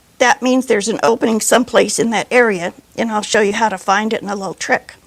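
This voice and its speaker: Recorded with a dry, close sound and no echo, a woman talks in an ordinary speaking voice, fairly high in pitch, with ordinary pitch variation. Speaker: sewing machine instructor. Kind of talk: tutorial.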